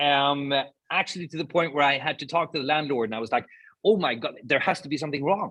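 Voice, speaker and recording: Ordinary pitch variation marks this man's fairly high voice. He speaks at a very fast pace. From Sweden. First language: Swedish. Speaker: podcast co-host, sustainability speaker. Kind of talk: casual conversation.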